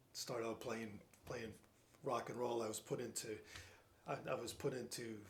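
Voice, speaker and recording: Long, frequent pauses break up this man's speech in a northern US accent. His voice is somewhat breathy, with monotone, flat intonation. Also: medium pitch for a man, moderate pace. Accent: northern US (Yankee). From New Jersey. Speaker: retired scientist, piano student. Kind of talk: casual interview. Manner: halting, many fillers and repeats.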